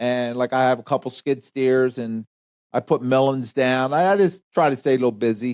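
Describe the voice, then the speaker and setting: Dry and close with no echo, the recording has a quiet background. A man speaks at a moderate pace in a medium pitch with monotone, flat intonation. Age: 70s. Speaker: retired paving contractor. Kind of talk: podcast interview. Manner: halting.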